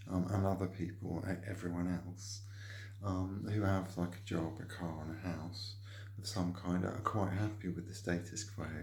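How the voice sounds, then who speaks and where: A man's fairly low, somewhat breathy voice in monotone, flat intonation, at a moderate pace with audible room echo. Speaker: painter decorator vlogger. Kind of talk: opinion monologue. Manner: halting, many fillers.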